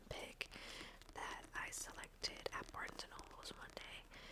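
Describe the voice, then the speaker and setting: With noticeable background noise around her, a woman is whispering at a fairly slow pace. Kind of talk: ASMR book talk to camera. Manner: whispered.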